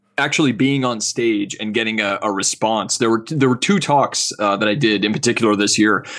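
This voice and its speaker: A man with a Canadian Maritime accent at a fairly quick pace, with ordinary pitch variation. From Nova Scotia, Canada. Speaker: designer and artist. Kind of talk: casual interview chat.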